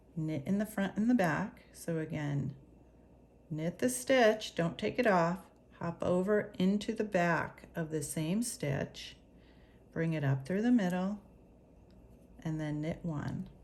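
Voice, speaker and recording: A woman with a fairly low, somewhat breathy voice speaks very slowly with lively intonation and long, frequent pauses. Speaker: knitting teacher. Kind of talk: tutorial.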